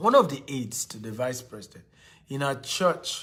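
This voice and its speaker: A fairly high-pitched man, fairly slow, with ordinary pitch variation. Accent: Nigerian. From Nigeria. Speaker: motivational speaker and real estate investor. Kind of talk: motivational talk.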